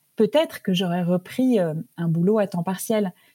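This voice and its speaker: Her voice comes out somewhat breathy. The woman's pace is moderate. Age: 50s. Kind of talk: interview. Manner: hesitant, many filler words.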